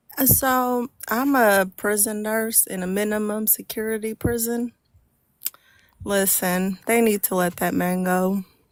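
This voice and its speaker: A woman's fairly high, fairly even voice at a fairly slow pace, a normal speaking voice. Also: dry, close sound with no echo. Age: 30s. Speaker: nurse. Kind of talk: casual chat.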